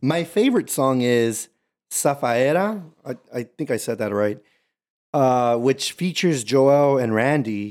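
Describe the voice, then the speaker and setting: This is a man with a normal speaking voice at a medium pitch. He talks at a fairly slow pace. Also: lively intonation. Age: 20s. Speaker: podcast host, former Marine. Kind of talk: casual chat.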